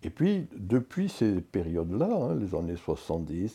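Against a quiet background, a man with a very deep, low pitch speaks in a dark, mellow, somewhat breathy tone with lively intonation. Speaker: sociologist, professor emeritus. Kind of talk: interview. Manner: halting.

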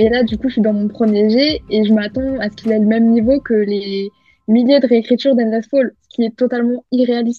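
A woman speaks at a fairly quick pace, her fairly high pitch held in a monotone, flat intonation. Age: 20s. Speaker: novelist. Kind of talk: interview.

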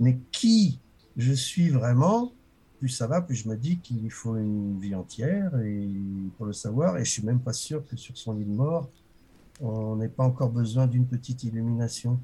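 A somewhat breathy voice with a dark, mellow tone and ordinary pitch variation speaks at a fairly slow pace. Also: man, medium pitch for a man. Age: 60s. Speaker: author and walker. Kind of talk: interview.

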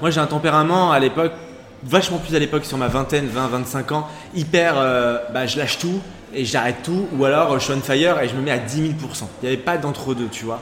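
Amid noticeable background noise, a man with a fairly high pitch talks at a fairly quick pace with ordinary pitch variation. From western France, Charente-Maritime. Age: 30s. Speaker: TV casting director. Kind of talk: casual chat.

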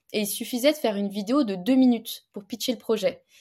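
A woman speaks in an unremarkable speaking voice at a fairly quick pace with ordinary pitch variation, on a very clean recording with a silent background. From eastern France, Montbéliard area. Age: 20s. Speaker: fencer and entrepreneur. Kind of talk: casual interview.

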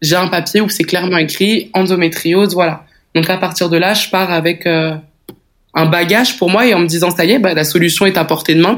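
A woman speaks at a fairly quick pace with a fairly low pitch and fairly even intonation. Hers is an unremarkable speaking voice, with very even loudness. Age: 20s. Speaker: woman living with endometriosis. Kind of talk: personal testimony.

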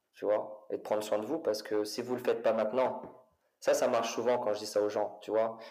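At a fairly quick pace, a man talks at a medium pitch with fairly even intonation. Room echo is audible. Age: 40s. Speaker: fitness coach and former footballer. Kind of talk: casual interview. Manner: hesitant with repetitions.

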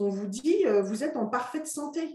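With lively intonation, a woman with a high pitch speaks at a fairly slow pace. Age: 40s. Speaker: interviewee sharing her fertility treatment journey. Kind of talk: interview, personal testimony. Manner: hesitant, many fillers and repetitions.

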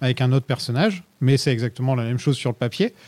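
A man's dark, mellow tone at a very fast pace. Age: 30s. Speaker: podcast host. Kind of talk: casual chat.

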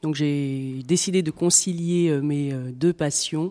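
A woman speaks at a very slow pace, her pitch very deep and low. Her tone is dark and mellow, with fairly even intonation. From Paris region, France. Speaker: equine veterinarian. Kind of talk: interview. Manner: halting, with fillers and repetitions.

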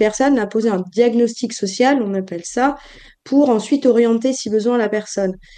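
A woman speaks at a fairly slow pace in a fairly high, dark, mellow voice. Her pitch varies in an ordinary way. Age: 40s. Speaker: life coach and social worker. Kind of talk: interview.

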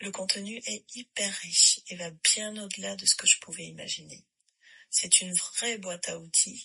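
A woman's medium-pitched voice, bright and sharp in tone with vocal fry, at a fairly slow pace. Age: 40s. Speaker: yoga teacher. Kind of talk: recorded voice message testimony.

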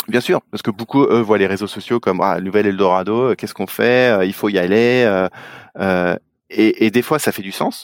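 A man's plain, everyday voice, fairly low in pitch, at a moderate pace with fairly even intonation, dry and close with no echo on a very clean recording with a silent background. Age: 40s. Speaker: advertising operations director at a sports broadcaster. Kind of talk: interview.

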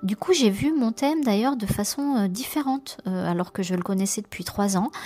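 A woman speaks with ordinary variation in her pitch. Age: 50s. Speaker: program participant. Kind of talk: testimony. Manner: halting.

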